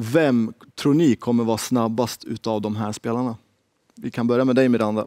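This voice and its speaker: A man speaks over a quiet background. The sound is dry with no echo. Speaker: game show host for women's hockey league. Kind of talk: game show style interview. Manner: animated. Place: studio.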